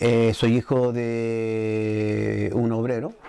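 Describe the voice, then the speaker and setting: Over noticeable background noise, a man at a medium pitch talks in monotone, flat intonation. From Chile, Curicó. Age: 60s. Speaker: muralist and artist. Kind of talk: interview testimony. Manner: halting, with frequent fillers.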